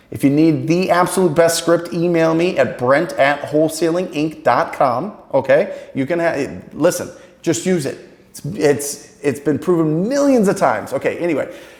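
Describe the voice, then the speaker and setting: Noticeable background noise sits behind a man with a high pitch. He talks at a moderate pace with lively intonation. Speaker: sales trainer.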